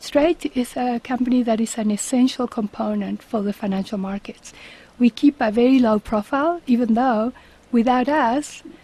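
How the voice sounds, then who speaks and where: A woman with a Spanish accent speaks in a high pitch, recorded with a dry, close sound and no echo. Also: ordinary pitch variation, moderate pace. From Uruguay. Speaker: company CEO. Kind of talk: radio interview. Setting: radio studio.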